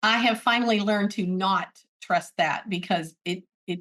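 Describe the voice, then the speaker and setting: With an American accent and a plain, everyday voice, a woman speaks at a moderate pace with fairly even intonation. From US, military family moving around. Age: 60s. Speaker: braille literacy advocate. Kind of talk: interview.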